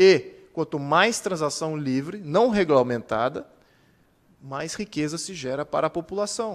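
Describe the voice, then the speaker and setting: In an ordinary speaking voice, a man talks at a fairly slow pace and a fairly high pitch. His loudness swings widely. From Brazil. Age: 40s. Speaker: political activist and speaker; speaker. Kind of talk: lecture. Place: hall. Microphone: podium.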